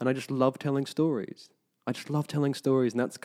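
A man's dark, mellow voice with an Australian accent over a quiet background. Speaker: actor. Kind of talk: casual chat.

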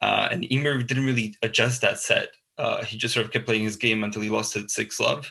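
Speaking at a fairly quick pace, a man has a Slovak accent. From Slovakia. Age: 20s. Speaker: tennis podcast co-host. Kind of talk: casual chat. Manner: halting, many fillers.

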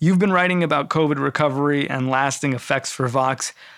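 A man's normal speaking voice, fairly high-pitched, at a fairly quick pace with ordinary pitch variation. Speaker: podcast host. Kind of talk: interview.

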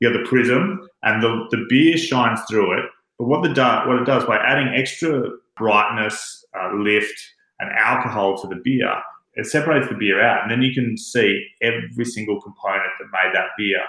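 There is audible room echo in this clip. A man at a medium pitch speaks at a moderate pace. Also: ordinary pitch variation. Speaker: master distiller. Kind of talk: interview. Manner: animated.

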